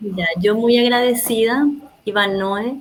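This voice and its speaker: A woman's very slow speech in a Paraguayan accent, medium in pitch with ordinary pitch variation. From Paraguay, Asunción. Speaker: oral storyteller. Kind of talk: interview closing message.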